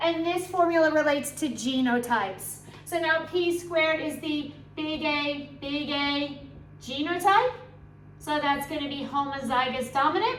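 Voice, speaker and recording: A high-pitched woman at a moderate pace, ordinary pitch variation and audible room echo. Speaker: biology teacher. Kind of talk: revision tutorial.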